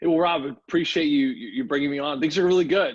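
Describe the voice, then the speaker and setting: Using a normal speaking voice with an American accent, a man talks at a fairly quick pace and a fairly high pitch, with ordinary pitch variation. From US Midwest, St. Louis. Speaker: hockey radio announcer, former player. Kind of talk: interview.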